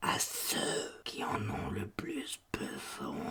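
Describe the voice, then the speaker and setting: A put-on character voice comes out raspy and whispering. It moves at a very slow pace. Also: man. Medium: read story. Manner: calm, fatalistic, zealous.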